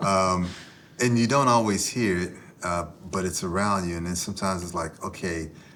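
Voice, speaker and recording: A man's very deep, low voice at a moderate pace, ordinary pitch variation, and audible room echo. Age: 50s. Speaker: author and former football player. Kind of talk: podcast interview. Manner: halting.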